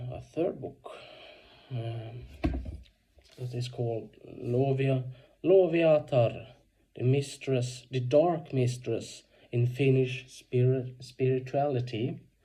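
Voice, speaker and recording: Very slow, somewhat breathy speech from a man with a non-native accent and a dark, mellow tone, full of long, frequent pauses and big swings in loudness. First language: Swedish. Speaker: video blogger. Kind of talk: casual book review monologue. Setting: at home. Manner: halting, many fillers.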